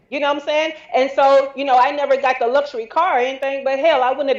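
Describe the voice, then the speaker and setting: A woman with a Southern US accent speaks at a very fast pace in a high pitch with an animated tone. Noticeable background noise is present. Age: 40s. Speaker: entrepreneur. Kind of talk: casual chat.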